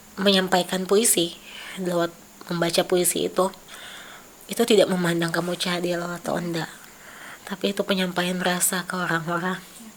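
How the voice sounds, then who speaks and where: A woman speaks at a fairly low pitch and a moderate pace, with monotone, flat intonation and long, frequent pauses. Noticeable background noise runs under her voice. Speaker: artist. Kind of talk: casual chat.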